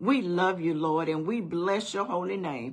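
A woman is speaking. Her pace is fairly slow. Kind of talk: prayer. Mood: earnest, reverent. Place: home room. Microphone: phone near.

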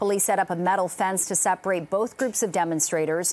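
There is a very clean recording with a silent background of a woman with an unremarkable speaking voice and medium pitch talking at a fairly quick pace. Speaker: news anchor. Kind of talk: news reading. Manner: formal.

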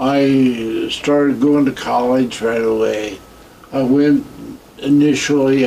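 At a very slow pace, someone with an American accent speaks in a flat monotone over light background noise. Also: man. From US Midwest. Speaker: war veteran. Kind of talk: oral history interview. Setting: veterans care home. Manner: halting. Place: home room.

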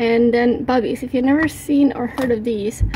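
Over noticeable background noise, a woman talks at a fairly quick pace in a high voice. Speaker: home cook vlogger. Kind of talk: casual vlog chat. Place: kitchen. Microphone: phone near.

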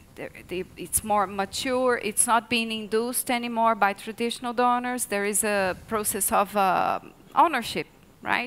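Speaking with a Portuguese accent, a woman talks at a moderate pace with fairly even intonation and a fairly high pitch. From Brazil. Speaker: research associate; speaker. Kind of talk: panel discussion. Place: hall. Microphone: headset.

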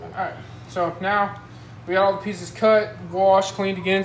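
A woman speaks over noticeable background noise. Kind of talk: tutorial. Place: kitchen. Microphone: phone near.

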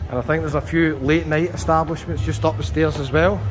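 Music plays behind a man talking at a fairly quick pace. His pitch swings very widely. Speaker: travel vlogger. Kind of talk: casual vlog chat. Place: street. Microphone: phone near.

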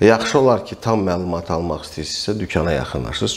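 The man's voice sits at a very deep, low pitch. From Azerbaijan. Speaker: airgun reviewer and shop owner; air gun seller. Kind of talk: product review tutorial; product review talk. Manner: hesitant with frequent fillers. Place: shop. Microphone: camera far.

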